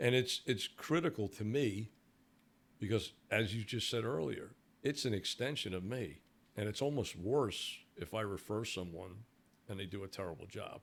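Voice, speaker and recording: A man with a Brooklyn accent speaks at a moderate pace in a fairly low pitch, his intonation lively. The recording is very clean, with a silent background. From New York, Brooklyn. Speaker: security company owner. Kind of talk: podcast interview. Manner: halting, many repeated words.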